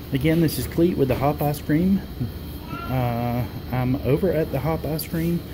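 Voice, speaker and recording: Clear background noise accompanies speech delivered at a medium speed. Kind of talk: casual vlog chat. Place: cafe. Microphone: phone near.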